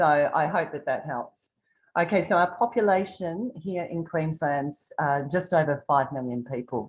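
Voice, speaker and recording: In an Australian accent, a woman speaks with lively intonation. The background is quiet. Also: fairly low pitch for a woman, moderate pace. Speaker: tour guide. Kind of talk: virtual tour presentation. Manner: soft-spoken.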